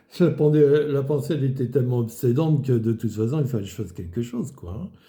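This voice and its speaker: A man speaks very fast in a dark, mellow tone that is somewhat breathy. His pitch is medium, with ordinary variation. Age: 70s. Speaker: retired market gardener giving faith testimony. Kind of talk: testimony. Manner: halting, many fillers.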